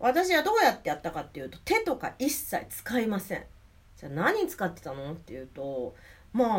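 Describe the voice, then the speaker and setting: At a moderate pace, a woman speaks in a fairly high pitch with very wide pitch swings. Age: 40s. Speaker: podcast host and belly dancer. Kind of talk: solo educational talk. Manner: hesitant, many fillers.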